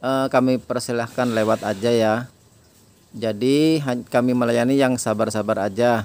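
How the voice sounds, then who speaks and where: This man talks at a fairly slow pace. The sound is dry, with no echo. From East Java, Indonesia. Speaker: online orchid seller. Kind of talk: sales pitch. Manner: brisk, rattling off prices and sizes; chatty, repeating "ya" to hold buyers' attention. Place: garden. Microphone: phone near.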